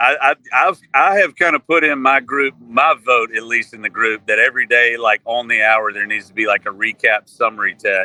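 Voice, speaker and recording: A man with a Southern US accent speaks at medium pitch and a moderate pace, using ordinary pitch variation, in a dry, close sound with no echo. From Mississippi, US South. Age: 40s. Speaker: country musician. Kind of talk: casual chat.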